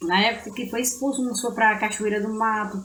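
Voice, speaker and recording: A woman speaks at a fairly high pitch, with audible room echo around her. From Brazil, far south of Bahia (Prado region). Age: 50s. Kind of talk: interview.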